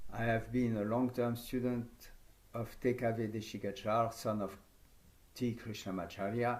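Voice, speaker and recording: A man talks at a medium pitch and moderate pace, with a French accent. His intonation is monotone and flat, and the room echo is audible. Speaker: yoga teacher trainer. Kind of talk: conference talk.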